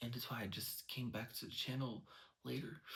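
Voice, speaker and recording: This man has a medium pitch and a bright, sharp tone. Vocal fry runs through his speech. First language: not English. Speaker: vlogger sharing personal experience. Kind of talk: personal monologue. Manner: halting, many fillers.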